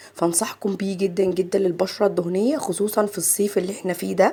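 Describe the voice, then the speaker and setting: A woman with an Egyptian accent at a fairly quick pace, medium pitch and fairly even intonation. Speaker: makeup artist. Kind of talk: tutorial. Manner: chatty.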